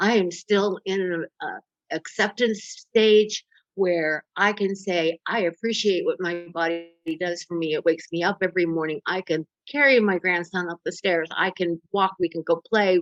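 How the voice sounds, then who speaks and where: A woman's unremarkable speaking voice at a medium pitch, moderate pace and fairly even intonation, dry and close with no echo. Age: 60s. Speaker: podcast guest, eating disorder recovery advocate. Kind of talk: interview conversation.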